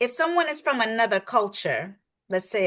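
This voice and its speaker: With a New York accent, a woman talks at a fairly quick pace with lively intonation. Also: quiet background. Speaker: coach. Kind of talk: podcast interview. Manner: animated.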